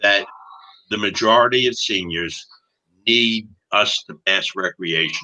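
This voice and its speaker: Bright and sharp in tone, a man speaks very slowly with lively intonation. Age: 70s. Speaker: cannabis activist, former prisoner. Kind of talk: interview.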